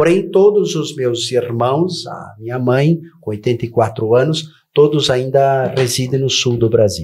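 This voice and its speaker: The man sounds somewhat breathy, speaking with lively intonation at a fairly slow pace. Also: medium pitch for a man. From southern Brazil (Rio Grande do Sul). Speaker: educator and political candidate. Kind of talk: TV interview. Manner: formal.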